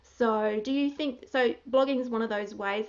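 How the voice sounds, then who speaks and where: A woman's fairly high-pitched voice with ordinary pitch variation, over noticeable background noise. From country Australia. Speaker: interviewer, blogger. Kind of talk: interview.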